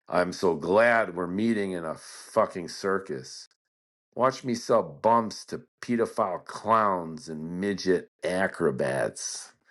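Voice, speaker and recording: Against a quiet background, a man puts on a whiny character voice, fairly low in pitch, at a fairly slow pace with ordinary pitch variation. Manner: complaining, sarcastic.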